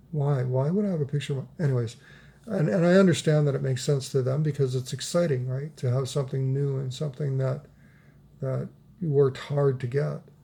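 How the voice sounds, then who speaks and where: Somewhat breathy and dark, mellow in tone, a man speaks at a fairly high pitch and fairly quick pace with fairly even intonation. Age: old. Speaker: vlogger and storyteller. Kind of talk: casual vlog monologue. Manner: subdued; halting, repeats words.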